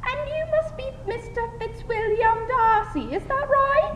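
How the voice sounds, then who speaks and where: A woman does a squeaky, put-on character voice at an extremely high pitch and a fairly slow pace, with slight echo and loud background noise. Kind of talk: 1920s radio parody. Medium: audio drama.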